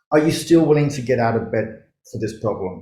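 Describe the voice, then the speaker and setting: In an Australian accent, a man speaks at a moderate pace in a dark, mellow, somewhat breathy tone, with audible room echo around him. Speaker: startup mentor and investor. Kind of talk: conference talk.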